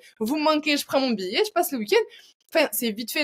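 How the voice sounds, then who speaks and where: The speech moves at a fairly quick pace with lively intonation. The background is quiet. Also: woman. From France. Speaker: learning designer and training entrepreneur; podcast guest, educator. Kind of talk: interview. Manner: hesitant, many fillers.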